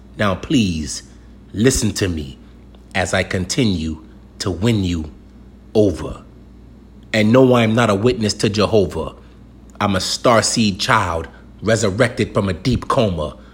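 A man with an American accent speaks at a fairly low pitch and a fairly slow pace, leaving long, frequent pauses. His tone is intense and somewhat breathy, with lively intonation. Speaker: spoken-word poet. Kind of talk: performed spoken-word poem, rhymed and rhythmic. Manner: intense, declarative, emphatic delivery with punchy rhyming cadence; preacher-like, urgent and confrontational, then calmer and reassuring.

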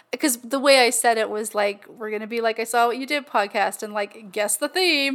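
A plain, everyday voice. It moves at a moderate pace. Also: woman. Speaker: podcast co-host. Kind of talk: casual chat. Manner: casual, filler-heavy, chatty.

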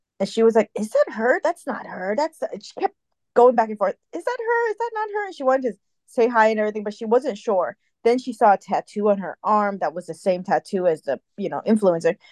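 A woman's plain, everyday voice, fairly high-pitched and fairly quick, with lively intonation, big swings in loudness and a dry, close sound with no echo. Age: 40. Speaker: podcast co-host. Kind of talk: casual chat.

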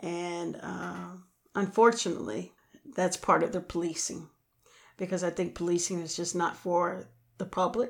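A woman with a fairly low voice speaks at a moderate pace with an American accent. Vocal fry runs through her speech. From Illinois, US Midwest. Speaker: podcast co-host, educational consultant. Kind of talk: casual chat.

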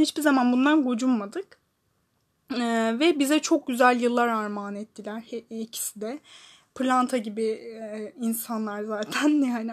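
Loud and high-pitched, a woman talks with ordinary pitch variation. The background is quiet. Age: 20s. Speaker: solo podcast host. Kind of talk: personal monologue. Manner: halting, many fillers; loud opening.

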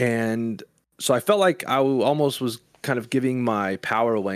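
An unremarkable speaking voice from a man, medium in pitch with ordinary pitch variation, in a very clean recording with a silent background. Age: 30s. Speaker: musician. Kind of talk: casual chat. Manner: calm.

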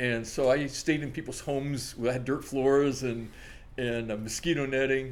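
Speaking at a moderate pace in a monotone, flat intonation, a man is heard with audible room echo. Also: medium pitch for a man. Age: 60s. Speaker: coffee shop owner. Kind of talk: casual chat.

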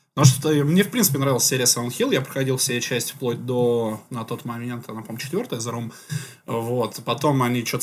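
A very fast man's voice, medium in pitch and somewhat breathy, with ordinary pitch variation. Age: 30s. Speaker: podcast co-host. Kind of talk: casual chat. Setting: studio.

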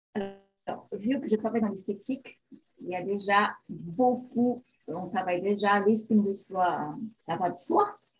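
Music plays in the background as a woman speaks at a very slow pace. Her voice sits at a medium pitch with ordinary variation. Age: 50s. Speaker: beautician, image consultant. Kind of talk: interview.

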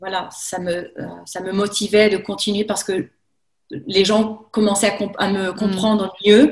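A somewhat breathy voice at a very slow pace, with fairly even intonation, big swings in loudness and long, frequent pauses. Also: woman. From France, Haute-Savoie near Lake Geneva. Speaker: French teacher. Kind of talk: casual chat. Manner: halting.

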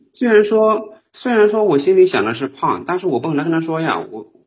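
There is audible room echo around a man with a Northeastern Chinese accent. He speaks at a moderate pace. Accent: Northeastern Mandarin. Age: 20s. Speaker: caller. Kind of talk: call-in conversation. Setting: call into live stream.

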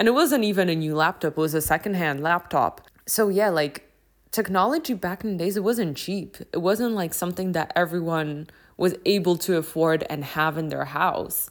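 In an ordinary speaking voice, a woman talks at a moderate pace with a fairly low pitch and ordinary pitch variation, over a very clean recording with a silent background. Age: 20s. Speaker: podcast host. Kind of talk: casual monologue.

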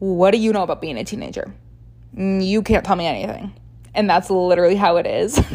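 Her dark, mellow voice at medium pitch, a woman speaks at a very fast pace. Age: 20s. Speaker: podcast host. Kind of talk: solo casual monologue.

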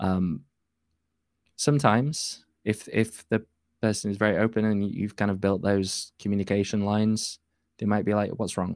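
Here a man speaks in a Yorkshire accent, at a fairly low pitch with fairly even intonation. His pace is moderate on a very clean recording with a silent background. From northern England. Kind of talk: casual chat. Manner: halting.

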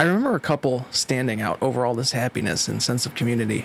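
At a very fast pace, a man speaks at a medium pitch with a dramatic tone, over noticeable background noise. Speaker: horror writer guest. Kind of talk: horror narration. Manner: tense, hushed, dramatic narration.

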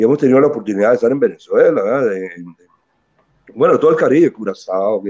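The man's voice has a dark, mellow tone. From Costa Rica, Caribbean coast (Limón). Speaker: musician and band leader. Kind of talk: interview.

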